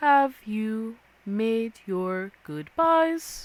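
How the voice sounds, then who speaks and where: A female-sounding voice uses a put-on character voice. Her pitch sits fairly high. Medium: actual play. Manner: calm, measured.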